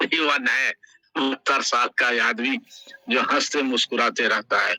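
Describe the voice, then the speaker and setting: Lively intonation marks a man's speech, heard in a dry, close recording with no echo. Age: 70s. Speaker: event host. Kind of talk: ceremonial welcome speech. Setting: online metaverse event. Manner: enthusiastic.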